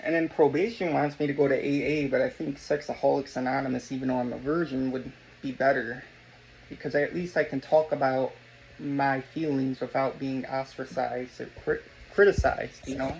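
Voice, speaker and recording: A man with a fairly high pitch talks at a fairly quick pace with fairly even intonation. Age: 20s. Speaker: vlogger. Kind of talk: personal testimony. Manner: halting.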